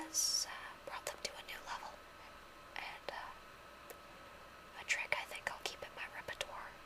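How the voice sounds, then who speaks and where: Moderate-paced whispering from a woman, with noticeable background noise. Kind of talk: casual talk to camera. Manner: whispered.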